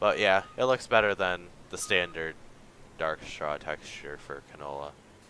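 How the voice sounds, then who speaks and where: A man speaks at a very deep, low pitch with ordinary pitch variation. His pace is fairly slow. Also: big swings in loudness. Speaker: gaming livestreamer. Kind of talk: casual livestream commentary. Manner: casual, hesitant with fillers.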